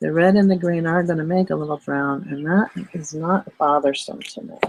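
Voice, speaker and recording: Loudness rises and falls sharply at a moderate pace, with ordinary pitch variation. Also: woman, fairly low pitch for a woman. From Philadelphia, US. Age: 60s. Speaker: artist teaching art online. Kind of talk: live-streamed art tutorial. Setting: live stream. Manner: casual, chatty with filler words.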